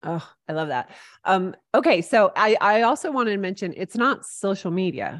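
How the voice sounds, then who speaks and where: An unremarkable speaking voice from a woman, medium-pitched with lively intonation, at a moderate pace against a quiet background. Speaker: podcast host. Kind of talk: interview.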